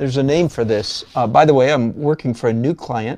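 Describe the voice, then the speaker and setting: In an American accent, a man talks at a fairly quick pace. His tone is dark and mellow, and his pitch varies in an ordinary way. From Michigan. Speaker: watercolor artist and art teacher; art teacher. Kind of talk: live-stream tutorial with chat. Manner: rambling, chatty. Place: studio.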